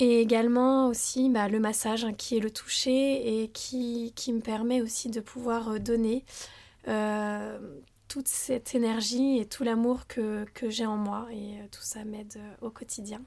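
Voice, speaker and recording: A woman's fairly high voice, dark and mellow in tone, flat and monotone, at a very slow pace with big swings in loudness. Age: 30s. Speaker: wellness practitioner and sophrologist. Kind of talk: personal testimony in interview. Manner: hesitant, many fillers and repetitions.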